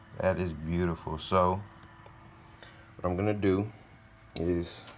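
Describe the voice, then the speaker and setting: Over audible room echo, a man with a very deep, low pitch speaks at a fairly slow pace in a monotone, flat intonation. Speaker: exotic pet keeper and YouTuber. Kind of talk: casual vlog tutorial. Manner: loud.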